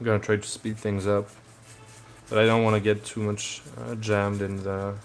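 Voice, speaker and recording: A man speaks with a French accent and a fairly low pitch. His intonation is monotone and flat, at a moderate pace. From France. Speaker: hobby crafter streamer. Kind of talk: casual live stream chat. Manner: hesitant, many fillers.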